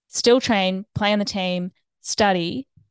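In an Australian accent, a woman speaks at a medium pitch, the sound dry and close with no echo over a quiet background. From Australia, Brisbane. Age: 20s. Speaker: photographer and videographer. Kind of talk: podcast interview.

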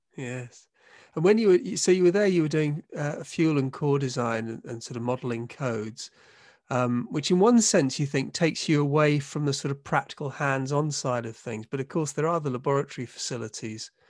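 With a British accent and lively intonation, a man speaks at a fairly high pitch against a quiet background. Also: fairly quick pace. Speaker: podcast host, professor. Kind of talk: interview, casual conversation. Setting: video call.

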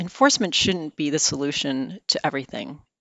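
A woman with a normal speaking voice talks at a moderate pace in a fairly low pitch. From US Midwest, outside Chicago. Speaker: securities regulator, head of enforcement. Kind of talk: podcast interview.

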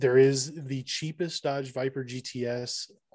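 A man with a plain, everyday voice, medium in pitch, with fairly even intonation. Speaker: podcast host. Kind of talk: casual chat.

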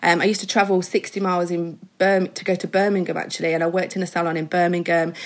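A fairly low-pitched woman's voice in an English Midlands accent, very fast with hardly any pauses and monotone, flat intonation. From English Midlands, mining village. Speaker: hairstylist and educator. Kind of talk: casual interview chat.

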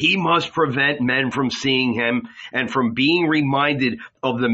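Someone reads aloud plainly, the pitch shifting in an ordinary way.

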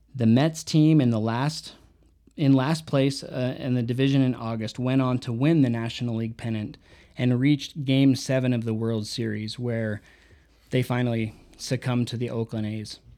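A man speaks at a medium pitch and a moderate pace. His tone is dark and mellow, with fairly even intonation. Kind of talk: solo book review monologue. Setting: unedited solo podcast recording. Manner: unscripted, with pauses and fillers.

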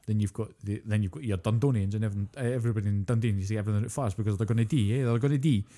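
A man's very fast, dark and mellow delivery in a Scottish accent, fairly low in pitch, with fairly even intonation and hardly any pauses. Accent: British (Scottish). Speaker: podcast co-host. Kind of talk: casual chat.

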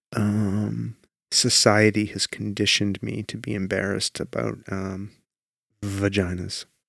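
At a fairly slow pace, a man with an unremarkable speaking voice and a fairly low pitch talks with fairly even intonation, in a very clean recording with a silent background and a dry, close sound with no echo. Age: 40s. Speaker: podcast host. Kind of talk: casual chat.

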